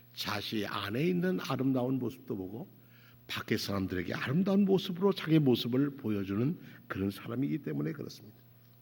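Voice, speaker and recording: At a fairly quick pace, a man with a medium-pitched voice makes very wide pitch swings. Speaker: pastor. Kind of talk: sermon. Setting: church. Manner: halting, with self-corrections.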